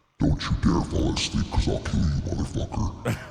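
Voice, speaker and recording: Over music in the background, a man puts on a character voice with a very deep, low pitch. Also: moderate pace. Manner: menacing, threatening.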